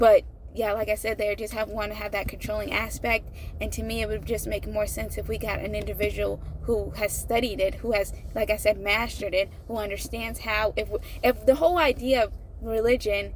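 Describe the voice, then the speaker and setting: A woman talks at a fairly quick pace with an American accent. Background noise is noticeable. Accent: hillbilly. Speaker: YouTuber commentator. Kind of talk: casual monologue. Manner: halting.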